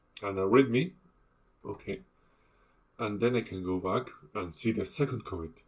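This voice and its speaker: A man with a non-native accent speaks at a moderate pace in a fairly low, somewhat breathy voice, pausing long and often. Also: ordinary pitch variation. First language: not English. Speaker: instructor. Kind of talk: tutorial. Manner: halting.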